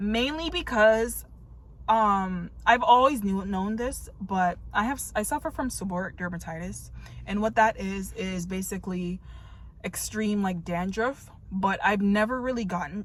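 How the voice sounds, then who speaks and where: A woman with an American accent speaks fairly slowly and somewhat breathily, with ordinary pitch variation. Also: medium pitch for a woman. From New York. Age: 30s. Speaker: vlogger. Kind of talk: casual chat. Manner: halting.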